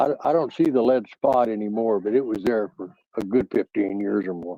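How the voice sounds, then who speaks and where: This man has an American accent, a medium pitch and a dark, mellow tone, with ordinary pitch variation. He talks at a fairly quick pace, and the sound is dry and close with no echo. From US West Coast, San Francisco Bay Area. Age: 70s. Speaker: panel participant. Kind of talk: casual chat.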